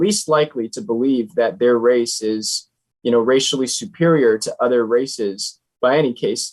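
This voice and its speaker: A man has an ordinary speaking voice at a moderate pace. His intonation is lively. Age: young. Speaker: nonprofit founder and author. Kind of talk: interview.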